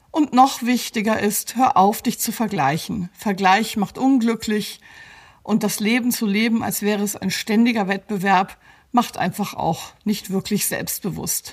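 A woman speaks at a fairly slow pace in a fairly high, somewhat breathy voice with ordinary pitch variation, on a very clean recording with a silent background. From grew up partly in Belgium (Brussels), German. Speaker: psychologist and coach. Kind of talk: scripted advice talk.

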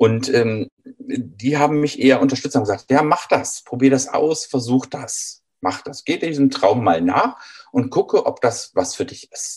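The speech moves at a fairly slow pace. Its loudness swings widely. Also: man. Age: 50s. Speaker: train driver, former eye doctor. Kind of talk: interview.

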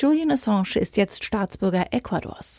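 Her voice swings very widely in pitch. The woman's pitch sits in the medium range. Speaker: news presenter. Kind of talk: formal newsreading, crisp bulletin-style headlines and short factual items. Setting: studio. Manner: formal; brisk, even and neutral, steady delivery.

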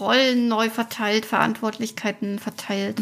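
A woman talks at a fairly slow pace with a fairly high pitch. Hers is an unremarkable speaking voice. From Thuringia, Weimar. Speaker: podcast host. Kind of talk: interview.

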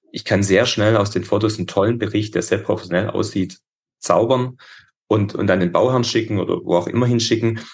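A man speaks at a fairly quick pace with a fairly low, somewhat breathy voice. His intonation is fairly even, and the background is quiet. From Upper Swabia, southern Germany. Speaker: metal and glass construction business owner. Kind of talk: interview.

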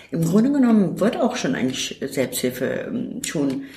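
A woman with a Turkish accent at a moderate pace, very wide pitch swings and noticeable background noise. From Turkey, moved to Germany at 13. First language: Turkish (speaking German). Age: 50s. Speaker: self-help centre worker. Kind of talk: interview.

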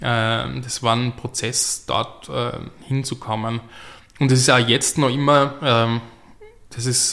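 A man talks at a very slow pace, with long, frequent pauses. His tone is bright and sharp, and his intonation is flat and monotone. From Austria, Graz. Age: 30s. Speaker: playwright and novelist. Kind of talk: interview. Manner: halting, many fillers.

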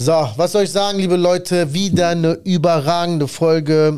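A fairly high-pitched male voice, dark and mellow in tone. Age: 30s. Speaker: podcast host and tradesman business owner. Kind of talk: casual chat. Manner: animated.

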